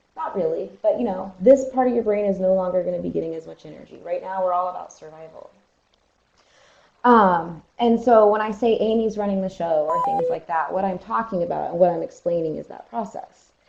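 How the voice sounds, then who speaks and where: A woman talks at a fairly quick pace with lively intonation. Her loudness swings widely. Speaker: counselor presenting a training webinar. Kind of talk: webinar lecture. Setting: online webinar. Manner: animated.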